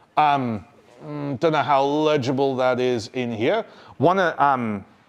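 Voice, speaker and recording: Against a quiet background, a man with an unremarkable speaking voice talks at a medium pitch with ordinary pitch variation. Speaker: technologist and conference speaker. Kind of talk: technical talk at a meetup. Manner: casual, conversational.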